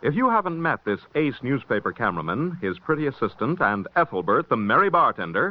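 A man's voice with vocal fry, very wide pitch swings, and a fairly quick pace. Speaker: radio announcer. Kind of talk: announcements and promos. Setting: old radio broadcast. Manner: formal.

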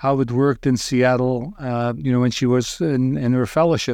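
A man with a Belgian accent speaks at a moderate pace and a medium pitch, his intonation fairly even. The background is quiet. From Belgium. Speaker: ultrasound radiologist. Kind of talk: casual interview. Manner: halting, filler-heavy.

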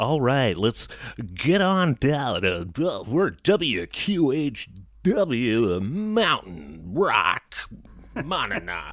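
A man's put-on character voice at a medium pitch, very slow in pace, with very wide pitch swings. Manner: announcer-style, upbeat.

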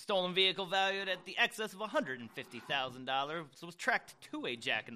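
This man talks at a moderate pace in a high pitch, his voice raised and projected. His tone is bright and sharp, with very wide pitch swings. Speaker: podcast co-host. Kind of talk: casual chat.

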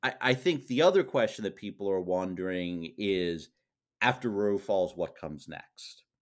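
A man's fairly low voice at a moderate pace with ordinary pitch variation, in a very clean recording with a silent background. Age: 40s. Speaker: journalist and Supreme Court expert. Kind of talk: casual interview. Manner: halting, frequent repetitions.

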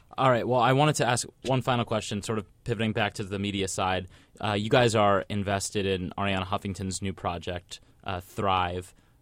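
A man with a plain, everyday voice talks at a fairly quick pace in a fairly low pitch with fairly even intonation. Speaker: podcast host. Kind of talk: interview. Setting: studio.

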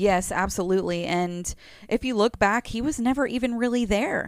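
A woman with an unremarkable speaking voice talks at a moderate pace, her pitch varying in an ordinary way. The recording is very clean, with a silent background. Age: 30s. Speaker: podcast co-host's wife. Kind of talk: casual chat.

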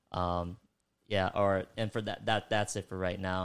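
A man speaks at a moderate pace with a very deep, low pitch and a monotone, flat intonation. The recording is very clean, with a silent background. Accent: American. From New York, the Bronx. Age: 20s. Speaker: beatboxer. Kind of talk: casual chat. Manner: halting.

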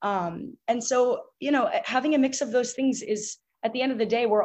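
Using an ordinary speaking voice, a woman talks with ordinary pitch variation. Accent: American. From US Northeast (Boston). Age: 20s. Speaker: fitness influencer and student. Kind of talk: casual interview.

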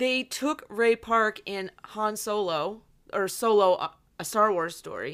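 A plain, everyday voice carries lively intonation. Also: woman. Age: 30s. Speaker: podcast co-host. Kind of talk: casual chat; scripted show intro.

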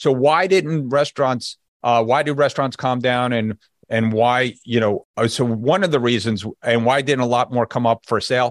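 A man with a New Jersey accent speaks at a medium pitch and a moderate pace, with ordinary pitch variation and very even loudness. The sound is dry and close with no echo over a quiet background. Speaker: business brokerage executive. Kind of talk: podcast interview.

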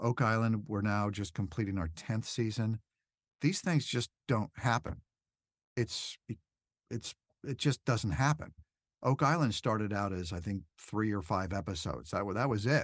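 A man has an ordinary speaking voice with a fairly low pitch and lively intonation at a moderate pace. The sound is dry and close with no echo, and the background is quiet. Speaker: voice actor and documentary narrator. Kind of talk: casual interview.

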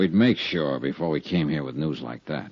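A put-on character voice uses vocal fry, a slightly husky edge and lively intonation. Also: man, extremely low pitch for a man, moderate pace.

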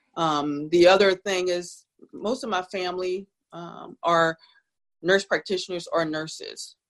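A woman with a plain, everyday voice talks at a fairly slow pace, her medium pitch showing ordinary pitch variation and big swings in loudness. The sound is dry and close with no echo, over a quiet background. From South Jersey, US. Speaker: nurse practitioner. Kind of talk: interview.

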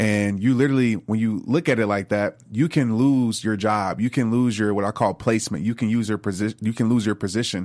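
A man with an American accent and a normal speaking voice, fairly low in pitch, fairly quick in pace, with fairly even intonation and very even loudness, on a very clean recording with a silent background. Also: hardly any pauses. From US South, New Orleans. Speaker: motivational speaker and author. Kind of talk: interview.

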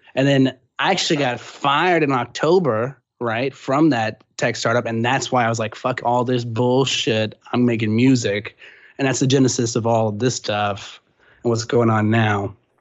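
Using a normal speaking voice, a man in an American accent speaks at a moderate pace and medium pitch with fairly even intonation. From Texas, San Antonio. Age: 20s. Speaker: rapper. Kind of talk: casual interview. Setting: phone call.

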